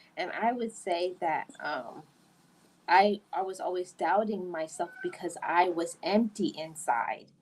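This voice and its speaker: A woman at a medium pitch speaks at a very slow pace with ordinary pitch variation. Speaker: podcast host. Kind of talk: casual chat.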